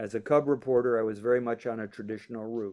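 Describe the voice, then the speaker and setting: Speaking at a fairly quick pace, a man uses a medium pitch with monotone, flat intonation. His tone is dark and mellow, and the background is quiet. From Cleveland, Ohio. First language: French. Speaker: retired journalist. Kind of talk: reading aloud from his memoir.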